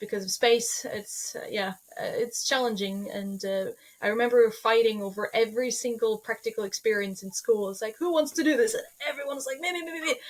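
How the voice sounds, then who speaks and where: In a Norwegian accent, a woman talks at a fairly quick pace with fairly high pitch, lively intonation and big swings in loudness. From Norway. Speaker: holistic veterinarian. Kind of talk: podcast interview.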